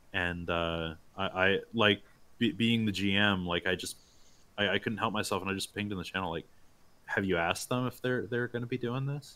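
At a fairly quick pace, a man talks in an ordinary speaking voice, fairly low in pitch with ordinary pitch variation. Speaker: campaign organizer and gamer. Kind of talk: casual chat, livestream. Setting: livestream with chat.

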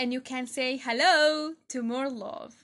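A woman with a non-native accent speaks at a very slow pace. Her voice is high, with ordinary pitch variation. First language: not English. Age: 20s. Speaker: motivational podcaster. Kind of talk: motivational monologue.

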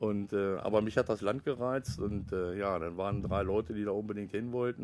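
In a normal speaking voice, a man talks fairly quickly, his fairly low pitch held to a fairly even intonation. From Lower Saxony, Germany (Pattensen near Hanover). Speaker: local politician and volunteer firefighter. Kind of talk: casual interview. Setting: outdoors in a garden.

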